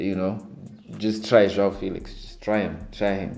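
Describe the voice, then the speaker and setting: This man has a very deep, low voice with a non-native accent. His tone is dark and mellow, and he talks at a fairly slow pace. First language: not English. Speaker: football fan vlogger. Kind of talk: casual fan reaction commentary.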